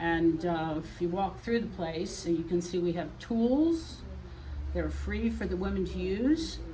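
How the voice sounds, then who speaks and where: Moderate pace amid noticeable background noise and audible room echo. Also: woman. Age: 70s. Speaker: quilt shop founder. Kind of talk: interview on a shop tour. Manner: halting.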